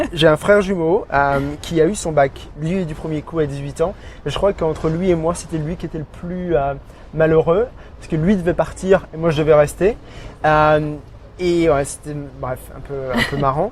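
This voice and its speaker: Noticeable background noise accompanies a man speaking at a fairly high pitch and a moderate pace, with long, frequent pauses. His intonation stays fairly even while his loudness swings widely. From France, Burgundy (near Auxerre). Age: 30s. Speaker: expatriate interviewee, digital marketing officer. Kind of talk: podcast interview. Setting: outdoor café terrace. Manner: halting, many hesitations.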